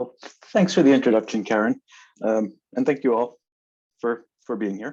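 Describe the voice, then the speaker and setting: A man with a dark, mellow tone speaks at medium pitch with ordinary pitch variation and long, frequent pauses. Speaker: biology professor. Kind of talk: lecture. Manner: fast.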